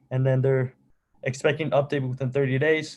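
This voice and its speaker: A man talks very fast in a fairly high voice with a non-native accent. His intonation stays monotone and flat. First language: not English. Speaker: student government meeting chair. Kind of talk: meeting.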